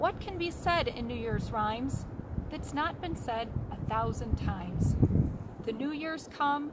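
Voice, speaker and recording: Amid loud background noise, a woman speaks at a fairly slow pace. The sound is dry with no echo. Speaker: library poetry reader. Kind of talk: poetry reading, a short welcome, then classic poems read aloud. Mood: hopeful, earnest. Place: forest. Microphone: phone near.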